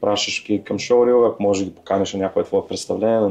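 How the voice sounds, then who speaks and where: Over noticeable background noise, a man speaks very fast at a fairly low pitch. His intonation is monotone and flat. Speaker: actor and entrepreneur. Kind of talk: podcast interview.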